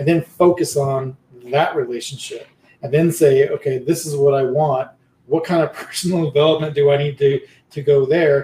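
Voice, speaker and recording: Somewhat breathy, a man speaks with a fairly high pitch and a dark, mellow tone. His moderate pace carries a monotone, flat intonation. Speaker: podcast host and guest. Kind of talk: casual conversation. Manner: halting, repeats words.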